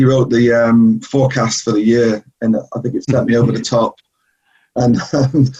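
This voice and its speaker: A man with a northeast England accent speaks in a somewhat breathy, dark and mellow voice with monotone, flat intonation. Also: medium pitch for a man, moderate pace. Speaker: travel company executive. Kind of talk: interview. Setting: video call.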